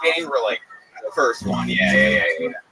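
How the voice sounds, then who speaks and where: A man speaks over noticeable background noise. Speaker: comedian. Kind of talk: casual interview. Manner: halting.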